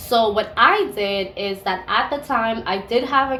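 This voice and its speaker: A woman with fairly high pitch and ordinary pitch variation is heard with audible room echo and noticeable background noise. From Caribbean (US Virgin Islands, St. Croix, and Dominican). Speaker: beauty and lifestyle vlogger. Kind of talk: product review vlog. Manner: casual, conversational.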